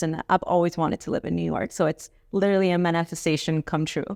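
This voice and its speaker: A woman with a Miami accent, a dry, close sound with no echo, and a quiet background. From Miami, Florida (born in Cali, Colombia). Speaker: real estate professional. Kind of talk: podcast interview.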